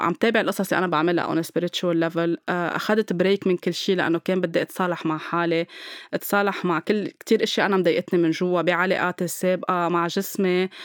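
This woman talks at a moderate pace with a medium pitch and a calm tone. The sound is dry and close with no echo, and the recording is very clean over a silent background. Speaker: podcast host and spiritual healer. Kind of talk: casual chat.

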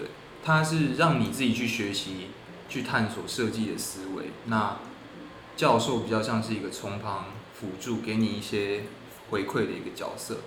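This man talks at a moderate pace and a fairly low pitch, with ordinary pitch variation and long, frequent pauses. Noticeable background noise and audible room echo come through on the recording. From Taiwan. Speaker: architecture student. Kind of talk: casual interview.

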